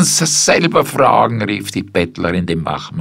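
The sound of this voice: An unforced reading voice carries the words.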